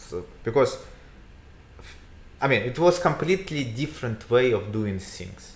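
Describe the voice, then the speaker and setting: A somewhat breathy male voice at medium pitch, in a Russian accent, with lively intonation, a moderate pace and long, frequent pauses. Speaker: real estate agent. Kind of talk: casual chat. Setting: livestream. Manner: halting.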